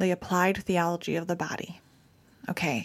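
In a very clean recording with a silent background, a woman with a plain, everyday voice speaks at a moderate pace and fairly low pitch with an American accent. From Michigan. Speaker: podcast co-host, ministry speaker.

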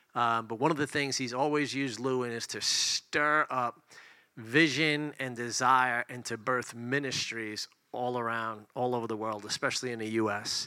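On a very clean recording with a silent background, a man speaks at a moderate pace. His medium-pitched voice has a bright, sharp tone and fairly even intonation. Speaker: pastor. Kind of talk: prayer and introduction.

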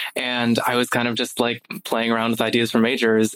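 Medium-pitched male voice over noticeable background noise. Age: 20s. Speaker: speech-language pathology undergraduate student. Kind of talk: casual interview.

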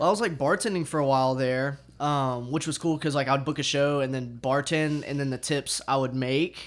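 A man in a Southern US accent speaks at a moderate pace with a fairly high pitch and fairly even intonation, on a very clean recording with a silent background. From Arkansas. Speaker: music promoter and musician. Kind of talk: casual chat.

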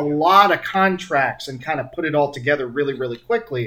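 With an American accent and an animated tone, a man with a fairly high pitch speaks at a fairly quick pace with lively intonation over noticeable background noise. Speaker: podcast host. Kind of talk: casual chat. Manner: joking, animated.

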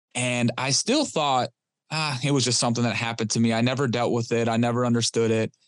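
A man with a Detroit accent talks very fast in a flat monotone, his loudness very even against a quiet background. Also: medium pitch for a man. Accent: US Midwest (Detroit). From Detroit, Michigan. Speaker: recovering addict sharing his story. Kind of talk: interview testimony.

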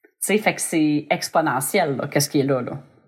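A woman with a Quebec accent speaks at a moderate pace with lively intonation. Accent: Québécois French. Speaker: podcast host. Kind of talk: casual chat.

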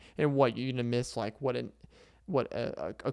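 Heard on a very clean recording with a silent background, a man with an American accent talks at a moderate pace. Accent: Southern US, slight to moderate. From Arkansas, US South. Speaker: podcaster and stand-up comedian. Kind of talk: casual solo podcast monologue. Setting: sitting on the floor, video podcast. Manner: chatty, rambling, self-deprecating.

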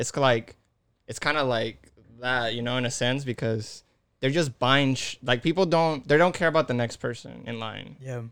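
On a very clean recording with a silent background, a man with a Spanish accent speaks at medium pitch and a moderate pace with fairly even intonation. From Mexico City, Mexico. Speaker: podcast guest. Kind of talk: casual chat.

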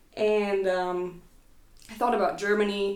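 Fairly slow speech from a woman, audible room echo around it. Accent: New Jersey. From US Northeast, rural New Jersey. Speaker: musician and art teacher. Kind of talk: casual chat.

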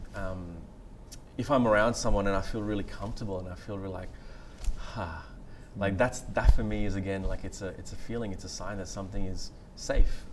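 With an Australian accent, a man with a fairly low pitch talks at a fairly quick pace, with fairly even intonation, big swings in loudness, and long, frequent pauses. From Australia, far north Queensland (born Sri Lanka, moved at 6). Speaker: meditation teacher. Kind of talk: guided meditation; interview before a live audience. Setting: stage with audience. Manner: hesitant, many fillers.

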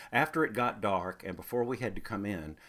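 On a very clean recording with a silent background, a man talks at a fairly quick pace in a North Carolina accent. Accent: Southern US (North Carolina). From US South, Greensboro, North Carolina. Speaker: storyteller. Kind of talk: scripted narration.

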